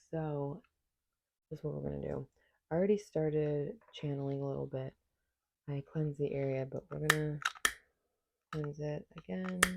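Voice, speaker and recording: Quietly and at a moderate pace, a woman with a very deep, low pitch speaks with ordinary pitch variation and long, frequent pauses. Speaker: tarot reader. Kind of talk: tarot reading.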